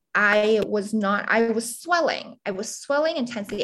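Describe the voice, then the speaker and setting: With a plain, everyday voice, a woman speaks at a moderate pace and a fairly high pitch. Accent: American. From US Northeast, Pennsylvania suburbs of Philadelphia. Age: 20s. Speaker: writer and journalist, patient sharing health story. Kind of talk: interview, personal health story. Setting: remote interview.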